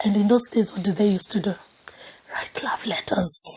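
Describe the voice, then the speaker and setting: A woman speaks in an animated tone. Her pace is moderate. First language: not English. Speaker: YouTuber sharing personal stories. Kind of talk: casual storytelling monologue.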